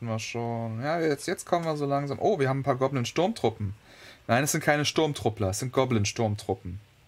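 The voice heard is a natural reading voice.

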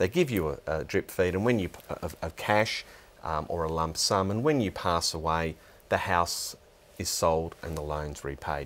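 This is a man talking. His intonation is lively. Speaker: guest. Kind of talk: interview answer. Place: studio. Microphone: lapel.

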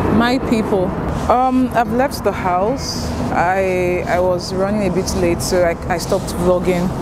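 Despite loud background noise, a woman's voice comes through dry with no echo, showing ordinary pitch variation. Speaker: graduate student vlogger. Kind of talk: casual vlog chat. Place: station. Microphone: phone near.

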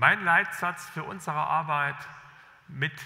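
A man speaks at a fairly slow pace. His tone is bright and sharp, with vocal fry. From East Germany, Jena; East Germany. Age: 60s. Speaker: government official, former journalist; former journalist. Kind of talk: keynote speech. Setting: stage with audience. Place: hall. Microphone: podium.

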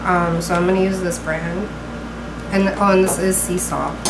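A woman's moderate-paced speech competes with loud background noise. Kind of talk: cooking tutorial. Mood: calm, friendly. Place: kitchen. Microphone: camera far.

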